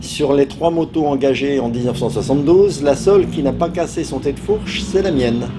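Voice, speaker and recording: With music playing in the background, a man talks at a moderate pace in a fairly high pitch, using ordinary pitch variation and hardly any pauses. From France, Paris area (Aubervilliers). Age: 70s. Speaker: retired motorcycle racer. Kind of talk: interview. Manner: hesitant, many filler sounds.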